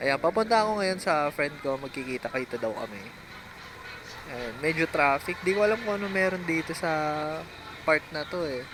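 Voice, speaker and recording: A voice at a moderate pace comes through noticeable background noise. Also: man, fairly high pitch for a man. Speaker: vlogger, BMX rider. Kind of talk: vlog voice-over. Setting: outdoors, riding in traffic. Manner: casual, halting with fillers. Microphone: no mic on camera, voice-over recorded.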